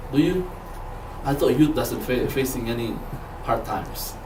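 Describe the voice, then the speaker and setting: With a non-native accent, a man speaks at a fairly slow pace amid noticeable background noise and audible room echo. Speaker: lay preacher, Bible student. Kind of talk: sermon. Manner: halting, with frequent repetitions.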